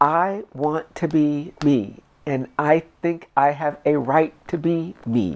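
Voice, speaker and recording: Over a quiet background, a woman with a very deep, low pitch speaks at a very slow pace with hardly any pauses and ordinary pitch variation. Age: 50s. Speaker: interviewee. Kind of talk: documentary interview.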